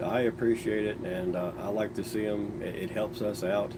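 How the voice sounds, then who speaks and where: A man speaks at a moderate pace in a fairly low pitch. Noticeable background noise and audible room echo fill the recording. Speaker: cue maker. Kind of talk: live stream chat. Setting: live stream. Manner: halting, repeats words.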